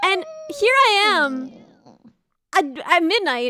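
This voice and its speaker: In a raised, projected voice, a woman sweeps through very wide pitch swings, the sound dry and close with no echo. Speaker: streamer. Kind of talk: casual chat. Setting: voice call. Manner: fast.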